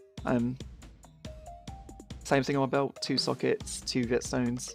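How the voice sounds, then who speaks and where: Music plays behind a man talking at a fairly quick pace. His tone is relaxed. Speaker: gamer. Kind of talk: casual gameplay commentary. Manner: casual, relaxed.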